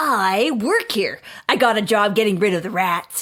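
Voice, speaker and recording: This female-sounding voice sits at a medium pitch. It is a put-on character voice. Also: moderate pace. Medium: video game. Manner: dim, literal.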